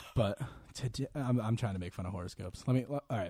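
Speaking at a very fast pace with an American accent, a man has a medium pitch, ordinary pitch variation, a dark, mellow tone, and a somewhat breathy quality. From Quincy, Massachusetts (Boston area). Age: 20s. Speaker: college student podcast co-host. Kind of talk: casual chat.

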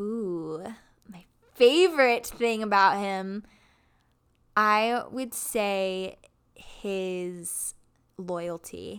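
At a very slow pace, a speaker with an American accent shows ordinary pitch variation and big swings in loudness on a very clean recording with a silent background. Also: woman, medium pitch for a woman. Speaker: corporate employee. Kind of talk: casual chat. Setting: home living room.

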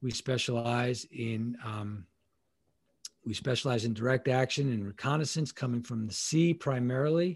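Somewhat breathy and at a moderate pace, a man speaks in a medium pitch with ordinary pitch variation. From Long Island, New York. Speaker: leadership consultant, former Navy SEAL and FBI agent. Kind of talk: casual interview.

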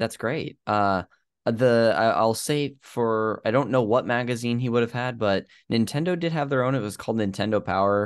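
Against a quiet background, a man with an unremarkable speaking voice talks at a moderate pace and medium pitch, with ordinary pitch variation. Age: 30s. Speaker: podcast host. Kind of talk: show intro and outro; casual chat.

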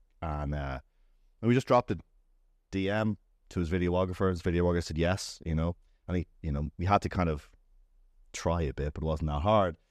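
A man with a Dublin accent speaks in a very deep, low voice at a fairly quick pace, with ordinary pitch variation, long, frequent pauses and a very clean recording over a silent background. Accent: Dublin Irish. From Dublin, Ireland. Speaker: startup founder and CEO. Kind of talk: casual interview chat. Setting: studio.

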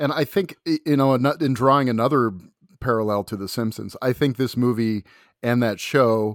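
Delivered in a normal speaking voice at a fairly slow pace, the speech has ordinary pitch variation. The recording is very clean, with a silent background and a dry, close sound with no echo. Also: man. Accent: American. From US Pacific Northwest, Seattle area. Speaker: film critic and podcaster. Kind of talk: casual chat.

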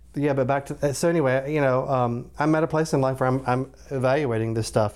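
A man speaks in a normal speaking voice at medium pitch. His pace is fairly quick and his pitch variation ordinary. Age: 40s. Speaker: doctor, podcast guest. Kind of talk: casual chat.

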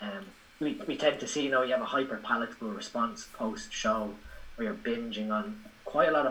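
A man with an Irish accent speaks at a fairly quick pace. His medium-pitched voice swings very widely in pitch. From Ireland. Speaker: bodybuilding coach and physiology educator. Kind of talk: casual interview chat.

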